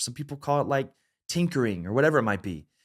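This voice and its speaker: On a very clean recording with a silent background, a man with a Southern US accent speaks at a medium pitch with lively intonation. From US South. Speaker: creativity and leadership coach. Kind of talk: educational talk to camera. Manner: casual, conversational.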